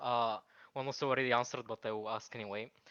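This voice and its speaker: In a Bulgarian accent, a man talks at a fairly quick pace. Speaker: gamer, caller. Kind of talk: Q&A question. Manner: halting.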